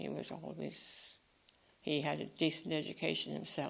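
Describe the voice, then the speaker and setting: A woman with a Tipperary accent speaks at a fairly slow pace. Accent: Irish (Tipperary). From Ireland, Fethard (Co. Tipperary). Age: 90s. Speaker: retired nun. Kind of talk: life story interview. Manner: halting, with false starts.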